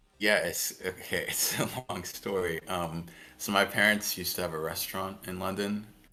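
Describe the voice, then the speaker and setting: A man with an English accent speaks in a very deep, low pitch, his tone bright and sharp and his intonation monotone and flat. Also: moderate pace. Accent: Americanized English. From France. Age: 20s. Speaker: video game streamer. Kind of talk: casual chat.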